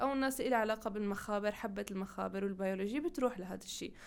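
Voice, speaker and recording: A woman talks at a very fast pace with ordinary pitch variation against noticeable background noise. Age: 20s. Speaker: engineering graduate. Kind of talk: interview.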